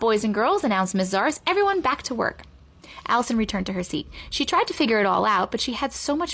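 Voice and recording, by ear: The voice is natural. It reads text aloud.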